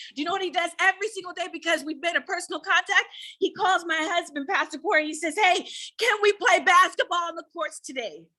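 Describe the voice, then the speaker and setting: Raising and projecting her voice, a woman speaks at a very fast pace in an extremely high pitch, with a bright, sharp, animated tone and ordinary pitch variation. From Antelope Valley, Southern California. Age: 40s. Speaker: pastor's wife and author. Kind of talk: speech at community event. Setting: ribbon cutting event with audience.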